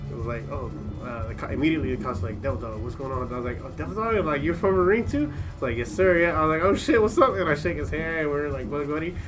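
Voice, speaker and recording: Music plays in the background as a man talks at a very fast pace, fairly high in pitch with very wide pitch swings. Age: 30s. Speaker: podcast host. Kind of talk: casual chat. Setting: studio tent.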